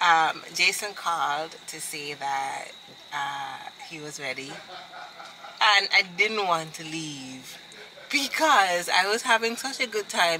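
A woman talks at a very slow pace with a fairly low pitch. Her loudness swings a lot, and there is light background noise. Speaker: vlogger. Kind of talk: casual vlog chat. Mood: happy, enthusiastic. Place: car. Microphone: phone near.

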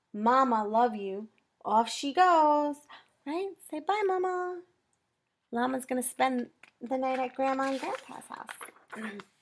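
Long, frequent pauses break up this very slow, sing-song delivery with lively intonation. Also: woman, high pitch for a woman. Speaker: children's librarian. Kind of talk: children's story time reading. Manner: expressive, sing-song, addressing young children. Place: home room. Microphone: webcam.

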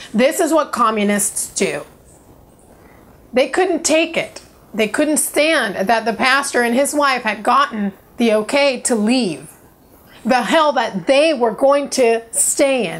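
A woman with a high pitch talks very slowly, her intonation lively. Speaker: vlogger. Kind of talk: personal story vlog. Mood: earnest, indignant at times. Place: home room.

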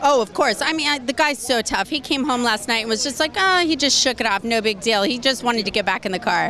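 Light background noise sits behind a woman with a high pitch. She talks very fast. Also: dry sound with no echo. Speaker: interviewee. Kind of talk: interview answer. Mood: cheerful, laughing. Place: street. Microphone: handheld.

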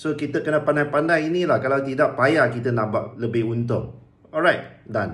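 Delivery comes at a moderate pace with ordinary pitch variation. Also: man, fairly high pitch for a man. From Malaysia. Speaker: business coach. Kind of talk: tutorial. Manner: casual, halting with fillers. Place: home room. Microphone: phone near.

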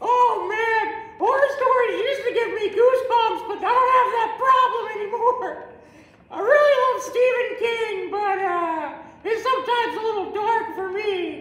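A squeaky, put-on character voice with a clear echo. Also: female-sounding voice, extremely high pitch for a woman, moderate pace. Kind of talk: comic promo sketch. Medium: comedy sketch. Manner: chatty, folksy, rambling.

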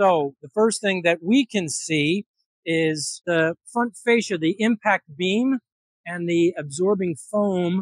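A man speaks in a high voice against a quiet background, the sound dry with no echo. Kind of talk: technical walkaround explanation. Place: workshop.

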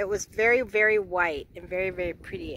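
Moderate pace, noticeable background noise and a dry sound with no echo. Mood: happy, relaxed. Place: boat. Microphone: phone near.

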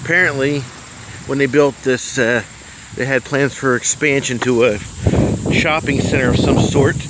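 A man talks at a moderate pace in a medium pitch with fairly even intonation. His tone is fairly bright, with faint background noise behind him.

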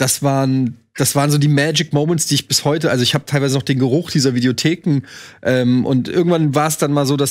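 Fairly even intonation against a quiet background. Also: man. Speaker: film show host. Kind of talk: casual anecdote in a panel chat. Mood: nostalgic, amused. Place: studio.

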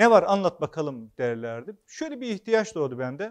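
This man's voice sits high in pitch. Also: quiet background. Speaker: author and former local official; speaker. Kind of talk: public talk; public talk, storytelling. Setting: hall with live audience. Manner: hesitant, frequent filler sounds. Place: hall. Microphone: lapel.

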